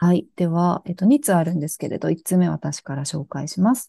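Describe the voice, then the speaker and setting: This woman speaks at a medium pitch and a fairly quick pace, her tone dark and mellow and somewhat breathy, with ordinary pitch variation and a dry, close sound with no echo. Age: 30s. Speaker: podcast co-host. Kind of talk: casual chat.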